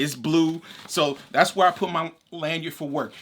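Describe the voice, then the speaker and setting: A man's bright, sharp voice with a high pitch. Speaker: gear reviewer. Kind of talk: product review. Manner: casual, conversational; halting.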